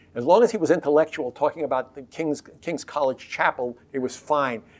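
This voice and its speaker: With an American accent, a man talks at a fairly high pitch in a plain, everyday voice. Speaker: historian, professor emeritus. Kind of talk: oral history interview answer.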